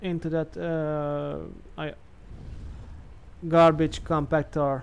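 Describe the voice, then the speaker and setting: Speaking at a very slow pace, a man keeps a monotone, flat intonation at a fairly high pitch. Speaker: gaming youtuber. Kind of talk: gameplay commentary. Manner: halting; hesitant, many fillers.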